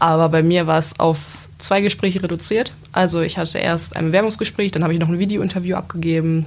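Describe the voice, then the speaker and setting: Noticeable background noise fills the recording. A woman's words come at a moderate speed. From Lower Saxony, Gifhorn-Wolfsburg area. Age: 20s. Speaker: apprentice. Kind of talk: casual interview.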